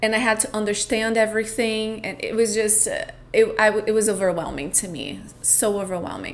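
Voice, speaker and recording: A woman speaks in a Portuguese accent at a fairly quick pace, her pitch fairly high and her intonation fairly even. Her loudness swings widely. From Brazil. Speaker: podcast host, spiritual coach. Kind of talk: personal storytelling monologue. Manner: reflective, with hesitations.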